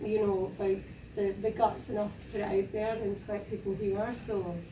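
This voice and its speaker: A woman with a Scottish accent talks in a monotone, flat delivery, her loudness swinging widely. Noticeable background noise and audible room echo fill the recording. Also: medium pitch for a woman, moderate pace. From Scotland. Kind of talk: panel discussion. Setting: university panel event with audience.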